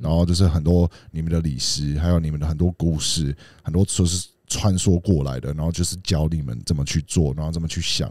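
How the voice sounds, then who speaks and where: A man speaks fairly quickly in a very deep, low voice with a dark, mellow tone and fairly even intonation. The sound is dry with no echo, over a quiet background. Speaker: podcast co-host. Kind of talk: casual chat. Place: studio. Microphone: studio mic.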